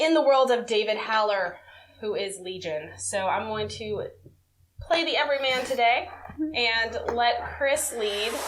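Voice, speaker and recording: With a Southern US accent, a woman speaks at a fairly high pitch and fairly slow pace, her intonation lively amid audible room echo. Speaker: podcast host. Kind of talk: casual chat.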